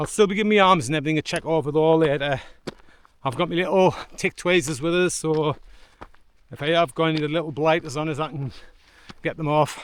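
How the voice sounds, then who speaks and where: A man with a northern English accent, fairly high-pitched, very fast between long, frequent pauses, with fairly even intonation. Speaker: hiker vlogger. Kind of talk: vlog narration while hiking. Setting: outdoors on a fell.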